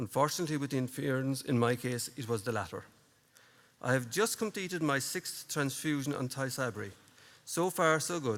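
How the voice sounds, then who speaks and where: A man at a medium pitch, fairly quick pace, and lively intonation. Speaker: person with MS giving a conference talk. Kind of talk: prepared conference speech.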